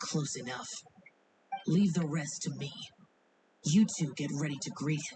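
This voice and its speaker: Someone uses a put-on character voice at middle pitch. Long, frequent pauses break it up. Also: moderate pace. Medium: video game. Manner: cold, terse, solemn.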